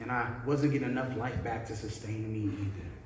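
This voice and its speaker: Noticeable background noise accompanies a man talking at a fairly slow pace. His pitch varies in an ordinary way. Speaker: spoken word poet. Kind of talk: spoken word poetry performance. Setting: live church event with audience.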